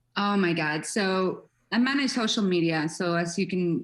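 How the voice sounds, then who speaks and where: The background stays quiet. A woman talks with a non-native accent. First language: not English. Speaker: social media manager for a tablet maker. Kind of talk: interview. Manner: animated.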